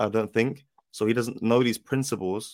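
In a very clean recording with a silent background, a man with a London accent talks at a fairly quick pace. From South London. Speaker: footballer. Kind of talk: casual chat.

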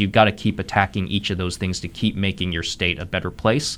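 A man with an American accent talks at a fairly quick pace in an ordinary speaking voice, his pitch fairly low. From Ohio, Columbus. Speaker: economic development executive. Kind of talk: radio interview.

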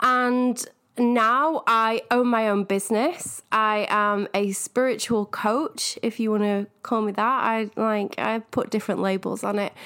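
A woman with a Manchester accent, bright and sharp in tone, at a fairly slow pace with hardly any pauses and very even loudness, on a very clean recording with a silent background. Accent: northern English, Manchester. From northern England. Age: 30s. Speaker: podcast host, spiritual coach. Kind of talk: casual solo podcast monologue. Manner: enthusiastic.

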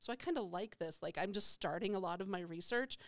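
An ordinary speaking voice goes along at a fairly quick pace. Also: woman. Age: 50s. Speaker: psychology professor and podcast host. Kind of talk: casual panel discussion.

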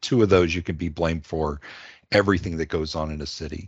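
Speaking with an American accent, a man uses fairly even intonation and a very deep, low pitch. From Washington, D.C. area. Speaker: podcast host, planning industry manager. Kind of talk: podcast introduction.

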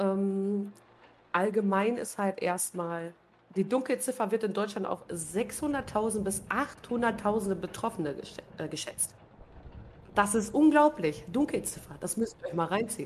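With noticeable background noise behind her, a woman speaks at a very slow pace with lively intonation. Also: medium pitch for a woman. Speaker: podcast host and streamer. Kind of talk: casual chat, live stream.

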